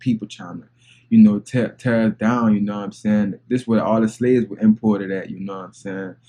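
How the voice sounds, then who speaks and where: Moving at a fairly quick pace, the speech carries a dark, mellow tone. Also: man. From New Orleans, Louisiana. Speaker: reaction video creator. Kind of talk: reaction commentary. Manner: animated.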